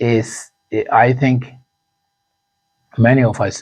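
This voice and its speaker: A man with a Zimbabwean accent speaks at a medium pitch. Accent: Zimbabwean accent, never changed. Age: 50s. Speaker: actor and musician. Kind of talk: interview. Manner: halting, repeats words.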